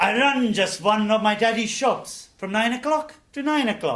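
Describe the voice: A put-on character voice moves at a moderate pace in a sing-song way. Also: man, high pitch for a man.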